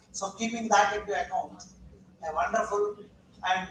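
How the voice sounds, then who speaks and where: A man's raised, projected, high-pitched voice amid noticeable background noise. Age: 70s. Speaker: academic session chairperson. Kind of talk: seminar talk.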